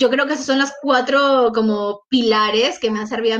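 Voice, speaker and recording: Moderate pace and ordinary pitch variation with a Peruvian accent. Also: woman. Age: 20s. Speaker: scholarship recipient, master's student. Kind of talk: interview. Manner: talkative.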